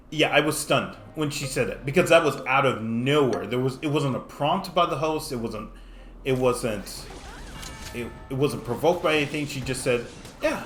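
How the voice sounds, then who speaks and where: Music plays in the background, and room echo is audible. A man talks at a fairly high pitch with ordinary variation. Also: moderate pace. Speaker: mobile game streamer. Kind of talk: gameplay commentary with storytelling. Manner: stuttering, halting; casual.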